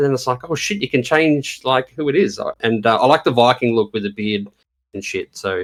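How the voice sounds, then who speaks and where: Fairly quick, lively intonation in an Australian accent. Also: man, medium pitch for a man. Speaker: gamer. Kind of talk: casual chat.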